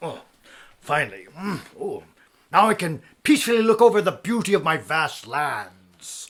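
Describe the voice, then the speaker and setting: A man puts on a character voice with a high pitch and lively intonation. His pace is moderate, with big swings in loudness. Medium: stage play. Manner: haughty, self-important.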